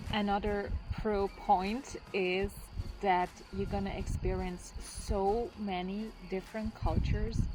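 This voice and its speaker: Against noticeable background noise, a woman with a non-native accent speaks at a very slow pace. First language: not English. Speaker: travel vlogger. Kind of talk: casual vlog talk to camera.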